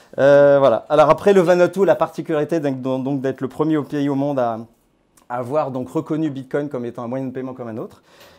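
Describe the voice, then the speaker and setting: Against a quiet background, a man talks at a fairly quick pace with a fairly high pitch and fairly even intonation. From France (born in Grenoble); France. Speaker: crypto platform founder. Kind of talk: talk to a small audience. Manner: hesitant, many fillers. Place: hall. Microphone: lapel.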